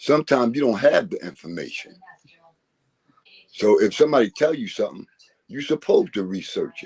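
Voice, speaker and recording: Big swings in loudness mark this man's speech. He goes at a fairly quick pace, with long, frequent pauses. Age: 60s. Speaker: panel participant. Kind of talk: casual chat.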